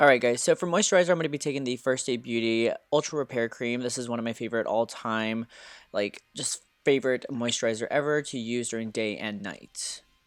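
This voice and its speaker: Over music in the background, a man speaks at a fairly quick pace and medium pitch. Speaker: beauty vlogger. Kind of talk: tutorial. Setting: at home, early morning.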